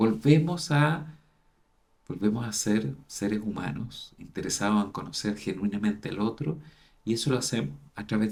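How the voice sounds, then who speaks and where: A man talks in a fairly low pitch. Vocal fry runs through his voice. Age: 60s. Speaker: university dean, psychologist. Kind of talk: interview conversation.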